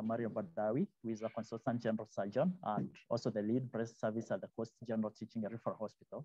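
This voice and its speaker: A man speaks at a very fast pace with a dark, mellow tone. The sound is dry with no echo, and the background is quiet. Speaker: symposium moderator. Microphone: video call.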